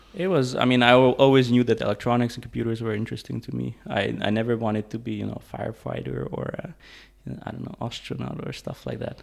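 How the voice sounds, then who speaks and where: Very fast speech from a man with big swings in loudness. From Hungary, Budapest, then Denmark from age 12-13. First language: Hungarian. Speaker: tech startup co-founder and CTO. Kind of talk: interview conversation. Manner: hesitant, many fillers.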